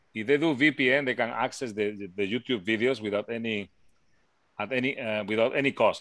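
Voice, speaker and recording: A man with a Spanish accent, fairly quick, with lively intonation. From Spain. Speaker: physics lecturer. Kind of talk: online class discussion.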